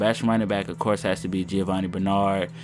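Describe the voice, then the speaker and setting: At a moderate pace, a man with an ordinary speaking voice and fairly low pitch talks with lively intonation. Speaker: gaming YouTuber. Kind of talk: gameplay commentary.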